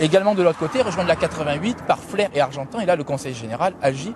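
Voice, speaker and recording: A man's fairly high voice at a very fast pace, with lively intonation and noticeable background noise. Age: 30s. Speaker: local politician, candidate. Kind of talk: interview.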